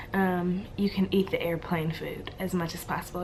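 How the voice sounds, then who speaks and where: Behind a woman with a medium-pitched voice, background noise is noticeable. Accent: American. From Louisiana, USA. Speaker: flight attendant. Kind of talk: casual talk to camera.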